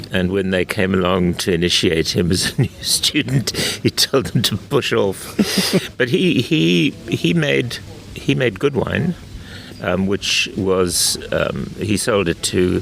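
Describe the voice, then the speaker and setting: Lively intonation and very even loudness mark this very slow delivery. Noticeable background noise sits behind it. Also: man, very deep, low pitch for a man. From South Africa, Western Cape winelands (Durbanville). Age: 70s. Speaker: wine and food commentator. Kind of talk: interview conversation. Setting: outdoors on a wine estate.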